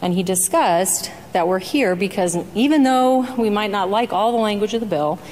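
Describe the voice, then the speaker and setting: A woman at a medium pitch with ordinary pitch variation and a fairly quick pace, over noticeable background noise. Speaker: state senator. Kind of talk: legislative floor debate. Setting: senate chamber floor. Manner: soft-spoken.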